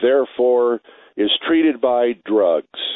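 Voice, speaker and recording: The clip features an unremarkable speaking voice whose pitch varies in an ordinary way. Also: man. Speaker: radio guest. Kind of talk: call-in radio talk. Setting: phone call.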